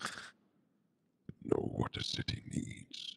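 In a put-on character voice, a man speaks with a calm tone. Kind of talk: villain monologue. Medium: game stream. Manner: calm, measured, manipulative.

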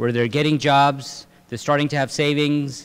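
Against a quiet background, a man talks at a fairly quick pace with fairly even intonation. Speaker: speaker. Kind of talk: lecture. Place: hall. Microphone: podium.

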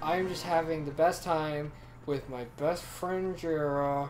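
Over background music, a woman uses a strained, put-on character voice with a very deep, low pitch at a fairly slow pace. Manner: through gritted teeth, strained.

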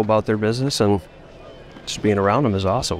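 Music plays in the background as a man with a fairly low pitch talks at a very fast pace, the sound dry with no echo. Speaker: professional baseball player. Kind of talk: interview answer. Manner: soft-spoken. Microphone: handheld.

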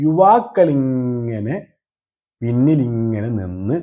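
Speaking in an ordinary speaking voice, a man with a medium pitch uses lively intonation. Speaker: political satire commentator. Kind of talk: satirical monologue.

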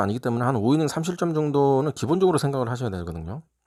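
A man talks with lively intonation. The background is silent on this very clean recording. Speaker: sports betting tipster. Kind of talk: solo sports betting preview. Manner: casual, hesitant with fillers.

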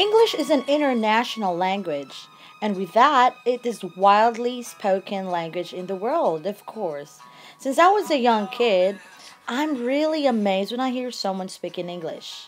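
A woman with a Filipino accent at a fairly high pitch, very wide pitch swings and a moderate pace, with music in the background. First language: Filipino language. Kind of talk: talk to camera.

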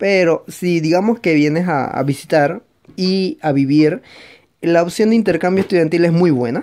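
Moderate pace over a quiet background. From Panama. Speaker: video blogger. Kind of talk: casual vlog advice. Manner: hesitant, many fillers. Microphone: phone near.

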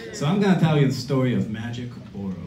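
With lively intonation, a man talks amid audible room echo and light background noise. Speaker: storyteller; musician. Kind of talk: live storytelling, comedic personal anecdote. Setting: stage with audience. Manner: animated, punchy comic delivery, crowd-pleasing. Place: stage. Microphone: camera far.

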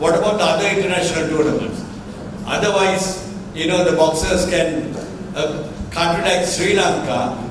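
Over noticeable background noise and strong room echo, a man with a high pitch talks at a moderate pace in a monotone, flat intonation. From Sri Lanka. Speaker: national boxing association president. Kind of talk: press conference. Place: hall. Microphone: podium.

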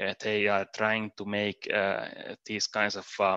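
At a fairly slow pace, a man talks in a fairly low pitch with a bright, sharp tone, the sound dry with no echo against a quiet background. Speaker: machine learning engineer. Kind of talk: conference talk. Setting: remote presentation. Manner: clear, deliberate pronunciation. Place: home room.

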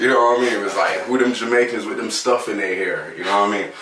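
As this man talks, light background noise and audible room echo come through. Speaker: interviewee. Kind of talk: interview answer. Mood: relaxed, storytelling. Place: empty room.

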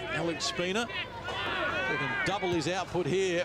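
A man with a high pitch uses a raised, projected voice against noticeable background noise. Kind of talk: live sports commentary. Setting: stadium broadcast, outdoors in rain. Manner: excitable, punchy delivery.

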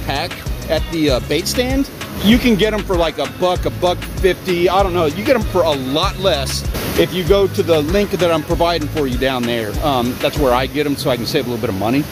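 Clear music plays behind a man talking at a fairly quick pace. The sound is dry with no echo. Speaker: fishing vlogger. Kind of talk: casual vlog tutorial. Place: beach. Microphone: phone near.

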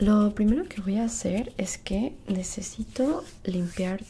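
A woman's somewhat breathy voice at a very slow pace, with fairly even intonation. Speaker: skincare roleplay host. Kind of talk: casual roleplay tutorial. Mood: friendly, relaxed. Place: home room. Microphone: earbuds.

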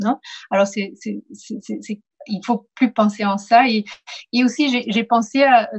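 A somewhat breathy voice moves at a very slow pace with fairly even intonation and big swings in loudness. Long, frequent pauses break it up over a quiet background. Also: woman. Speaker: professor, moderator. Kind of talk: interview. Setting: video call. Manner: halting. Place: home room. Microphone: video call.

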